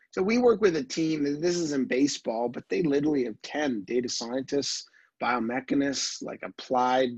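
At a fairly quick pace, a man with an ordinary speaking voice talks in a fairly high pitch with ordinary pitch variation. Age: 30s. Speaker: tech entrepreneur. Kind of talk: casual interview. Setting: video call.

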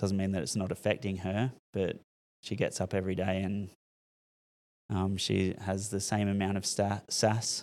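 A man with an Australian accent, fairly low in pitch, monotone and flat, at a moderate pace with long, frequent pauses, on a very clean recording over a silent background. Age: 40s. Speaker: school principal. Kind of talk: casual chat. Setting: classroom.

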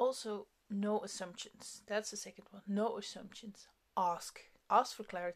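A woman with a non-native accent speaks at a fairly slow pace in a medium pitch, her intonation fairly even. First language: not English. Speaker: podcast host. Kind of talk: solo monologue, self-help talk. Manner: casual, hesitant with fillers.

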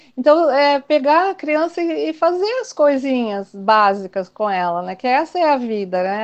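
Against a quiet background, a woman talks. She keeps a fairly slow pace. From Brazil, São Paulo state. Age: 60s. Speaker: Waldorf teacher and educator. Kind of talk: casual interview. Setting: online call.

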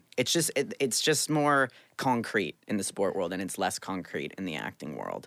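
A man with a fairly low pitch and vocal fry speaks at a moderate pace with very wide pitch swings, in a very clean recording with a silent background. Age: 20s. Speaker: actor and former pro hockey player. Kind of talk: casual chat.

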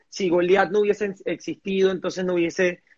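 This man's pitch is high. His pace is moderate. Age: 30s. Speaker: entrepreneur. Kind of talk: interview. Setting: livestream.

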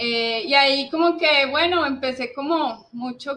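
Against noticeable background noise, a woman speaks at a fairly slow pace with a high pitch. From Colombia, Cali. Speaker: bird conservationist. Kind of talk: interview.

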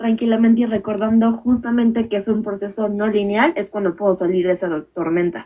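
Soft-spoken delivery with ordinary pitch variation. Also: woman. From Mexico, Playa del Carmen. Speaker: course participant. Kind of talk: group conversation.

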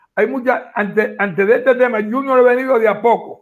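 A man's voice with fairly even intonation. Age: old. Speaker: agronomist, former entomologist. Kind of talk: casual panel discussion.

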